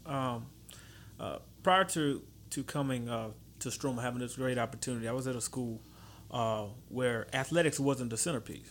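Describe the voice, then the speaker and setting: This man, with a Louisiana accent, speaks at a medium pitch and leaves long, frequent pauses. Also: ordinary pitch variation, moderate pace. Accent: Louisiana Southern US. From Baton Rouge, Louisiana. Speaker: high school football coach. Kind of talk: casual interview. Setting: studio.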